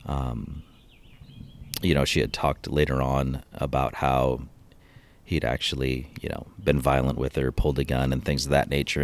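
A man with an American accent speaks at a moderate pace in a very deep, low voice with vocal fry. His intonation is monotone and flat. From Seattle area, Washington. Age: 40s. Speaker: police officer. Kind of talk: interview testimony. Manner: halting, many fillers.

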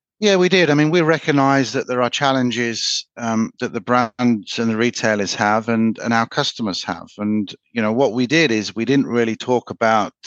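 A man at a medium pitch, moderate in pace with ordinary pitch variation and hardly any pauses, in a dry, close sound with no echo against a quiet background. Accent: English. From England. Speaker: sales manager at a print technology company. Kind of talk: interview.

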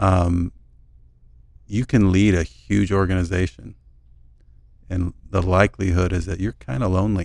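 At a moderate pace, a man with a very deep, low pitch speaks with fairly even intonation and long, frequent pauses. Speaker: board member and co-host.

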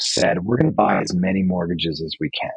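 A man's voice makes very wide pitch swings. Music plays behind him. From New Orleans, Louisiana. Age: 40s. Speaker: real estate broker. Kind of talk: interview. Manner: animated.

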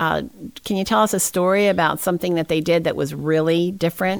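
A woman uses an ordinary speaking voice, fairly low in pitch, at a fairly quick pace. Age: 60s. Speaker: ministry podcast host. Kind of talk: interview.

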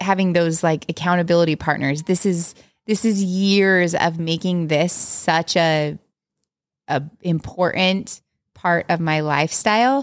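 A woman speaks at a fairly slow pace in a plain, everyday voice, her pitch fairly low with ordinary variation. Her loudness stays very even throughout. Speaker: podcast co-host and mom. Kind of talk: casual chat, podcast conversation. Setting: home, quiet recording with a baby asleep nearby.

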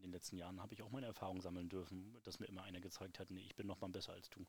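Speaking at a very fast pace, a man uses a very deep, low, somewhat breathy voice with monotone, flat intonation. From Mecklenburg-Western Pomerania, Germany (Parchim). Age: 30s. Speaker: entrepreneur. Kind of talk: casual interview. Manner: halting.

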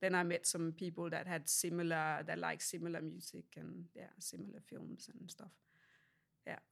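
A woman speaks at a moderate pace in a Danish accent. Her loudness swings widely. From Denmark. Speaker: ceramic artist. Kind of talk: interview. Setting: artist's studio. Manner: halting.

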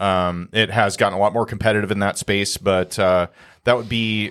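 At a moderate pace, an unremarkable speaking voice comes through in an American accent. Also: man. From small town in Iowa. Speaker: real estate podcast co-host. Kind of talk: casual interview. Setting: studio.

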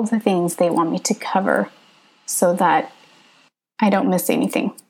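With a West Coast American accent, a woman speaks at a moderate pace with ordinary pitch variation. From Northern California. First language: Hmong. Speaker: podcaster, prospective PhD student. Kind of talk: tutorial.

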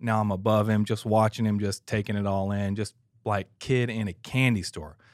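A man with an American accent, fairly low pitch and a flat monotone at a moderate pace, on a very clean recording with a silent background. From Atlanta, Georgia, US South. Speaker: church audio engineer, former drummer. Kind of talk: casual chat. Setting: studio.

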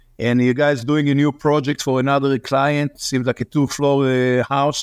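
With an Israeli accent, the speaker keeps a moderate pace with hardly any pauses, monotone, flat intonation and very even loudness, in a dry, close sound with no echo over a quiet background. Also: man. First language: Hebrew. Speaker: real estate investor's partner. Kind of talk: casual chat.

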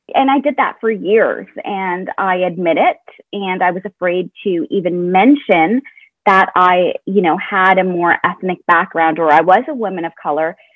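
A woman at a moderate pace, in an unremarkable speaking voice with ordinary pitch variation. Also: medium pitch for a woman. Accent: Canadian. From Canada, Mississauga (Ontario). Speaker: social media strategist and influencer. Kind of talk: casual interview chat.

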